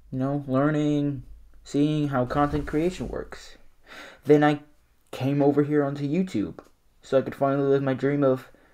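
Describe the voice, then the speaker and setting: A man speaks at a moderate pace with a fairly high pitch. His tone is dark and mellow, broken by long, frequent pauses. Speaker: small YouTuber. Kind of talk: reaction video commentary. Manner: less energetic than usual.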